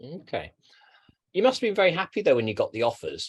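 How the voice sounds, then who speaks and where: With a London accent, a man speaks at a fairly quick pace. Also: quiet background. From London, England. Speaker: education advisor. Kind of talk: interview. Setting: webinar.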